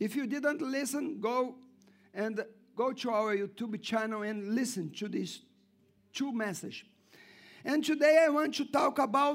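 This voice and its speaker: A man speaks at a fairly slow pace in an extremely high pitch with an animated tone and ordinary pitch variation, on a very clean recording with a silent background. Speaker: pastor. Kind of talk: sermon. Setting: church. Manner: animated, call-and-response, urging the congregation to say amen; repetitive, emphatic preaching cadence with stumbles.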